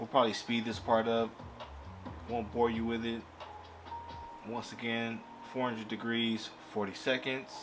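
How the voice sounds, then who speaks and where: With music in the background and audible room echo, a man talks at a moderate pace and medium pitch in a monotone, flat intonation, leaving long, frequent pauses. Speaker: crafting YouTuber. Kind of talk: tutorial. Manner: loud; casual.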